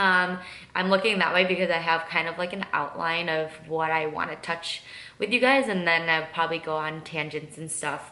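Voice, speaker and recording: Speaking at a moderate pace, a woman with a strong Midwestern accent uses a fairly low pitch and ordinary pitch variation, with audible room echo. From US Midwest, Michigan. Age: 20s. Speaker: lifestyle and makeup vlogger. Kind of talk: casual get-to-know-me vlog while doing makeup. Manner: casual, many fillers (um, like).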